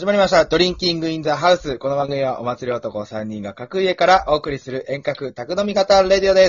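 Animated and lively in intonation, a man talks at a fairly quick pace. He leaves hardly any pauses. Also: fairly high pitch for a man. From Japan, Yamagata. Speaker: podcast co-host. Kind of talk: casual chat. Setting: home recording, remote call.

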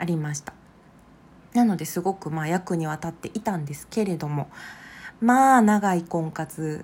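A normal speaking voice at a moderate pace. The pitch varies in an ordinary way. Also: woman. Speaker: psychological counselor and podcast host. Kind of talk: solo podcast monologue.

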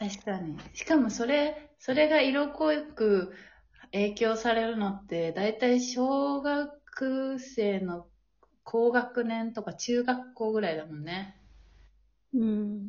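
Her voice is fairly high in pitch, with lively intonation. The woman speaks at a very slow pace. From Japan. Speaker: podcast host, graduate student. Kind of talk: casual chat.

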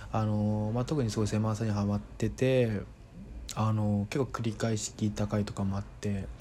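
This man's intonation is monotone and flat. His fairly low pitch comes with a dark, mellow tone. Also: moderate pace. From Kanto, Japan (Saitama/Tokyo). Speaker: podcaster. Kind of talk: casual monologue. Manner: halting, many fillers.

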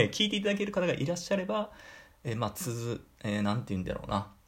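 A man's voice with a slight Kyushu accent, vocal fry and very wide pitch swings. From Fukuoka, Kyushu. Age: 30s. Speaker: podcaster, office worker. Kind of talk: solo talk radio. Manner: polite casual.

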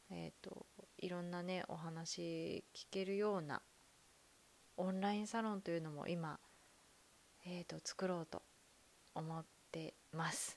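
Soft-spoken, a woman with a fairly low pitch talks at a fairly slow pace with fairly even intonation, long and frequent pauses, and big swings in loudness. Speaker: podcaster, former call center worker. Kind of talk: casual monologue.

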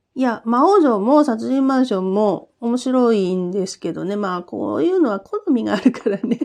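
A woman speaks at a fairly high pitch and a moderate pace. Her intonation is lively, and the background is quiet. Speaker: podcaster reviewing escape games. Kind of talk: casual solo talk.

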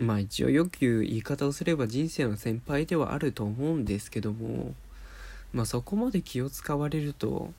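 A soft-spoken, somewhat breathy man talks at a moderate pace with lively intonation. His tone is dark and mellow at medium pitch, on a very clean recording with a silent background. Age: 20s. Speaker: podcast host. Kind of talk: casual monologue. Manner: soft, sleep-inducing.

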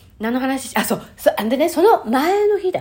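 Her voice has vocal fry and very wide pitch swings. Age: 50s. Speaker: podcast host. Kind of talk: casual monologue. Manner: chatty with frequent fillers.

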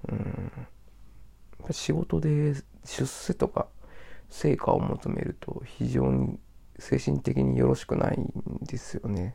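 The man's delivery is very slow. He pauses often and at length. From Japan, Osaka. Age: 30s. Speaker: podcaster. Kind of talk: solo casual monologue.

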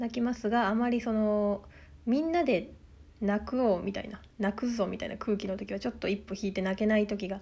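The voice moves at a fairly quick pace, somewhat breathy, with ordinary pitch variation. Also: woman, fairly high pitch for a woman. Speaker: solo podcaster. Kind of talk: casual solo monologue. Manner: fast.

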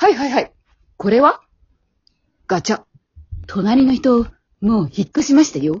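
In a put-on character voice, a woman speaks at a fairly high pitch and fairly slow pace, with a slightly mellow tone, a husky, rough edge and big pitch swings.

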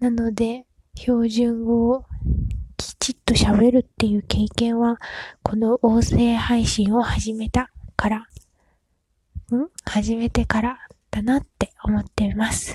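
Long pauses come often, leaving the delivery very slow. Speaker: podcaster. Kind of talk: casual monologue. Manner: hesitant, many fillers.

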